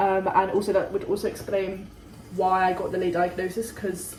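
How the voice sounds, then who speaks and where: Audible room echo surrounds a woman speaking at medium pitch and a fairly quick pace. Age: young. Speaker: vlogger. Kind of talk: casual vlog chat. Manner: fast.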